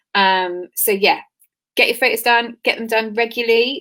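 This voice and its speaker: This is a normal speaking voice at a moderate pace with fairly even intonation. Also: woman. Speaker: PR expert and business founder. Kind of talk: webinar talk.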